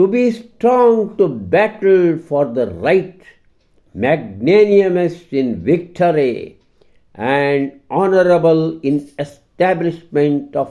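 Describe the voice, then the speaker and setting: A man talks at a fairly high pitch, his voice swinging very widely in pitch. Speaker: vlogger reading a prayer aloud. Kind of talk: fervent prayer read aloud in English, then repeated in Kannada. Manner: earnest, devout, solemn; measured, pleading, with an imploring tone.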